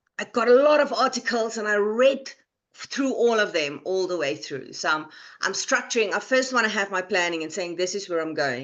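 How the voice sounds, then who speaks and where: A woman speaks at medium pitch. Her pitch swings very widely. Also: moderate pace. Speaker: vocal coach and student. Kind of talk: interview. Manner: halting, with fillers and repetitions.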